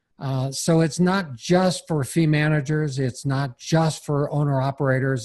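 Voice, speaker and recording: A man speaks with a fairly high pitch, a somewhat breathy quality and ordinary variation in pitch. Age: 60s. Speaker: seminar teacher on property leasing. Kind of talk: podcast interview.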